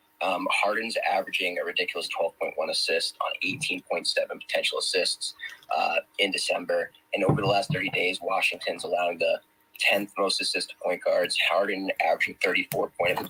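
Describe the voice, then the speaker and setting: The man talks at a fairly quick pace. His sound is dry and close with no echo, though background noise is noticeable. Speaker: sports betting guest analyst. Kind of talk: sports betting pick breakdown. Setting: live audio room stream. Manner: fast.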